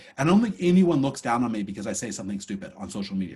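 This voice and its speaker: Breathy in places, a man talks at a very fast pace in an animated tone with very wide pitch swings. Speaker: course instructor. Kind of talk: lecture.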